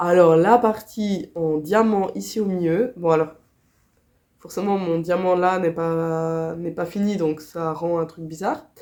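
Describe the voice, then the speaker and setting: Very slowly and with fairly even intonation, a woman speaks at a fairly low pitch in a Swiss accent. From Switzerland. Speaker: crochet vlogger. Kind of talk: casual vlog chat. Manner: hesitant, many fillers.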